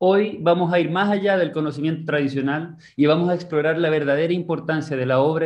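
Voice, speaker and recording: In a normal speaking voice, a man with a fairly high pitch talks at a fairly quick pace with fairly even intonation against a quiet background. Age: 20s. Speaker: seminar host. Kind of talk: scripted narration; presentation introduction. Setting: video call. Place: home room. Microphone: video call.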